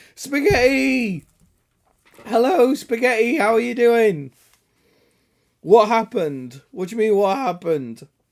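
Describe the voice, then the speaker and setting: A man with an English accent speaks fairly slowly, his pitch swinging very widely, with long, frequent pauses. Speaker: gaming live streamer. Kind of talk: casual chat. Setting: live stream.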